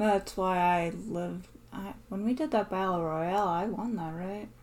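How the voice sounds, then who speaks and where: Here is a woman with an ordinary speaking voice at medium pitch. She talks at a fairly slow pace with ordinary pitch variation. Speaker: podcast host. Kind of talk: casual chat.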